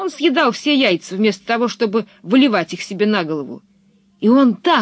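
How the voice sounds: With lively intonation, the reading voice sounds natural.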